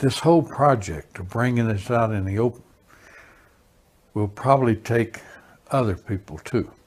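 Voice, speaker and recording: A man with an American accent speaks at a moderate pace in a medium, somewhat breathy voice with ordinary pitch variation. He leaves long pauses often. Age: 70s. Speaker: witness. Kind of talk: testimony.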